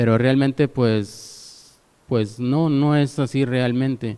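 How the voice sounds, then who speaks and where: A man talks in a dark, mellow tone at a medium pitch. His intonation stays fairly even. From Mexico, Monterrey. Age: 30s. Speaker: lay preacher. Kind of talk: testimony. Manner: halting.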